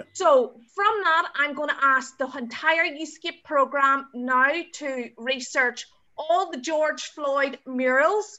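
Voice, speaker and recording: At a very slow pace, a woman with an Irish accent speaks in a high voice with ordinary pitch variation. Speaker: youth project podcast host. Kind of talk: podcast interview moderation.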